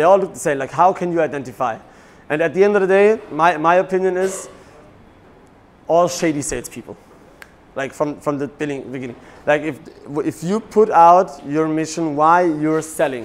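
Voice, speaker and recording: With a German accent and a fairly high pitch, a man talks with ordinary pitch variation and long, frequent pauses against noticeable background noise. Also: moderate pace. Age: 30s. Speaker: real estate broker and coach. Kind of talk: seminar talk. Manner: animated.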